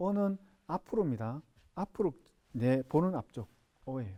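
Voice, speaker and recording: In a dry, close sound with no echo, a man with a Gyeongsang accent talks at a fairly slow pace, his medium-pitched voice dark and mellow with very wide pitch swings. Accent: Gyeongsang dialect pronunciation. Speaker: sign language instructor. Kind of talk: lecture. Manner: repetitive, drilling sounds aloud.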